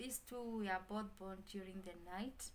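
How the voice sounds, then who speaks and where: Light background noise sits behind the woman, whose intonation is fairly even. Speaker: vlogger. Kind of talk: casual vlog chat. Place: home room. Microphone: phone near.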